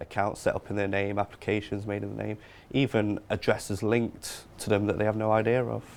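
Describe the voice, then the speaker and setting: Speaking with an East Midlands accent, a man uses a fairly low pitch and a monotone, flat intonation. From Nottingham, England. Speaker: fraud victim support worker. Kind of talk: interview.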